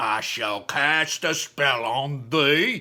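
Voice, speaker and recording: Using a put-on character voice, a man sounds raspy at a fairly high pitch. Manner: mysterious.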